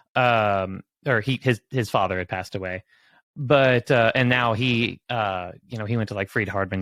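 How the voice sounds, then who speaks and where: Recorded very cleanly against a silent background, a man with an American accent and a plain, everyday voice speaks at a fairly quick pace with fairly even intonation. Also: dry, close sound with no echo. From southeastern Oklahoma. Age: 30s. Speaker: guest sharing faith story, tech professional. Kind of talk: testimony. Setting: livestream.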